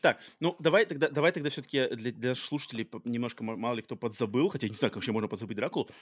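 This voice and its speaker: In a very clean recording with a silent background and a dry, close sound with no echo, a man speaks at a very fast pace and medium pitch. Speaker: podcast host. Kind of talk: casual chat.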